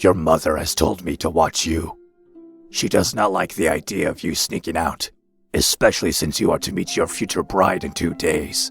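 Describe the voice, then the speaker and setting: A put-on character voice from a man, very deep and low and growling, at a moderate pace with fairly even intonation over faint background music. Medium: audio drama. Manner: formal, clipped.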